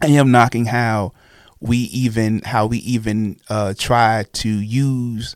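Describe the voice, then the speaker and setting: A man's medium-pitched voice with an American accent and ordinary pitch variation, on a very clean recording with a silent background. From New York City (Brooklyn). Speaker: pastor. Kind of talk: casual chat. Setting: studio. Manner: halting, with frequent repetitions.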